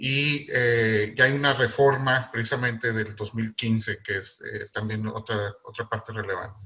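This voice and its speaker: A man with a northern Mexican accent speaks at a fairly slow pace and medium pitch, with fairly even intonation and hardly any pauses. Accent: northern Mexican, fairly marked. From northern Mexico. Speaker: philatelist presenter. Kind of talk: lecture. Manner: loud; halting, many fillers.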